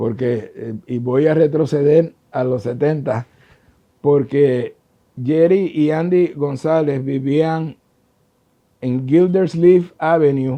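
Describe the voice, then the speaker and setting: In a Puerto Rican accent, a man talks at a very slow pace, his fairly high voice dark and mellow with fairly even intonation. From Puerto Rico. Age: 70s. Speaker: trombonist. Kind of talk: interview answer.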